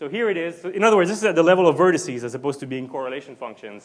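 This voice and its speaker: A man's high-pitched voice with lively intonation. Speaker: physics lecturer. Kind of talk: lecture. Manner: fast.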